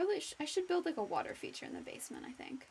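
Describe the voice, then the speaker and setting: A woman is speaking. Her pitch swings very widely. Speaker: streamer. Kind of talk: live gameplay stream chat. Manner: halting, many self-corrections.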